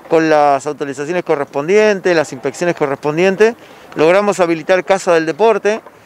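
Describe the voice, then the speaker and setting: A man's high-pitched voice at a moderate pace, with ordinary pitch variation and a dry, echo-free sound. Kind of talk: interview answer. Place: street. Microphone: handheld.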